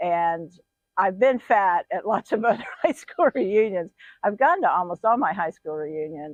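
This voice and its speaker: This is a woman with a plain, everyday voice at medium pitch, speaking at a moderate pace with lively intonation. The sound is dry and close, with no echo. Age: 60s. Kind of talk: casual talk to camera.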